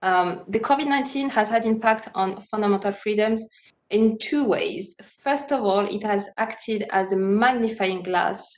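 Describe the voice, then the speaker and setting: A woman with a French accent talks at a moderate pace in a fairly high voice. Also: ordinary pitch variation. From France. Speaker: moderator, human rights lawyer. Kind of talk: panel discussion moderation. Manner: hesitant, many fillers.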